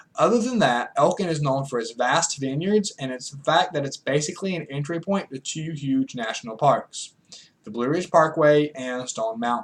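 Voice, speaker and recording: A man has a plain, everyday voice with a fairly high pitch and lively intonation. He keeps a moderate pace, with big swings in loudness. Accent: American. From US South, rural North Carolina foothills. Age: 20s. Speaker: student. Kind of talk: class speech. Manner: formal.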